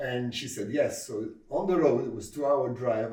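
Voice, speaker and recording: Audible room echo around a man talking at a moderate pace and a medium pitch. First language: Arabic. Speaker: comedy club founder and comedian. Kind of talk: interview. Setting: sit-down interview. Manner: hesitant, with frequent fillers.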